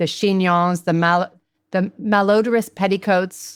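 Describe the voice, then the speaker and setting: With a normal speaking voice, a woman speaks at a moderate pace and medium pitch on a very clean recording with a silent background. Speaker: podcast host, interviewer. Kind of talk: podcast interview, host asking questions.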